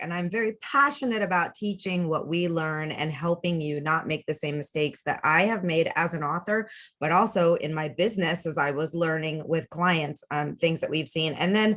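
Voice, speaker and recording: A woman at a fairly quick pace, fairly low in pitch, with ordinary pitch variation. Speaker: webinar presenter, author and business coach. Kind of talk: casual, enthusiastic presentation. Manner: fast talker.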